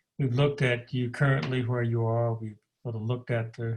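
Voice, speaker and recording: Fairly even intonation from a man with a somewhat breathy voice. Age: 70s. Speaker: interviewer. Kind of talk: interview.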